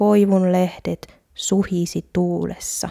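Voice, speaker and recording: At a very slow pace, a woman speaks in a dark, mellow tone with monotone, flat intonation, the sound dry and close with no echo on a very clean recording with a silent background. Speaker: Finnish language teacher. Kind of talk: language-learning monologue. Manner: slow and clear.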